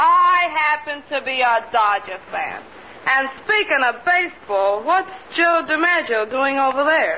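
Lively intonation marks this fairly slow delivery in a Brooklyn accent. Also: woman, high pitch for a woman. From born in Brooklyn, parents in South America. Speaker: nightclub entertainer, film actress. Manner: brash, streetwise.

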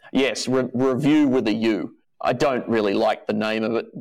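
Speaking with an Australian accent and fairly even intonation, a man comes through on a very clean recording with a silent background. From Australia (Adelaide). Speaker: comedy writer and web series creator. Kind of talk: casual chat.

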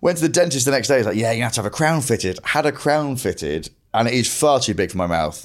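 Talking at a very fast pace, a man uses a medium pitch with very wide pitch swings and vocal fry. The recording is very clean, with a silent background. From northern England, Grimsby. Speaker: comedian. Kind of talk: casual chat.

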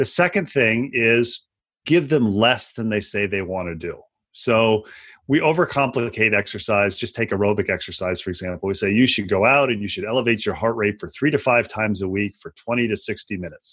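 An unremarkable speaking voice from a man at a medium pitch with ordinary pitch variation, against a quiet background. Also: fairly quick pace. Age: 50s. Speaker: exercise physiologist. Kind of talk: interview conversation.

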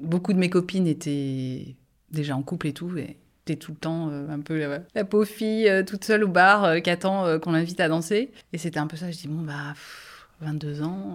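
In a normal speaking voice, a woman talks at a moderate pace with a fairly low pitch, ordinary pitch variation and big swings in loudness, on a very clean recording with a silent background. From France, Angers. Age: 40s. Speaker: nurse. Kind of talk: casual chat.

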